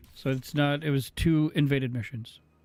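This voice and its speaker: Music plays behind a man speaking. His voice is fairly high-pitched, with fairly even intonation. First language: French. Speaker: video game streamer. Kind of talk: live gameplay stream chat. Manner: halting, many fillers and restarts.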